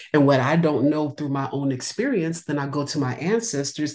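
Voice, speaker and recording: With an American accent, a woman speaks at a very deep, low pitch and a moderate pace. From California. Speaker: novelist. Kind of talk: interview.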